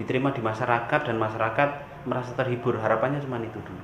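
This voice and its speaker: A man at a very fast pace in a strong Javanese accent, with audible room echo and noticeable background noise. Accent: strong Javanese (medok) in Indonesian. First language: Javanese (speaking Indonesian). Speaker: reggae musician. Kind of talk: interview. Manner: casual.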